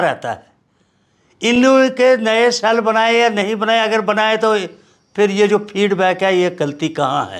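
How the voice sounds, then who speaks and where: With ordinary pitch variation, this man talks in a high voice. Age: 70s. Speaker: political veteran. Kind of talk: interview.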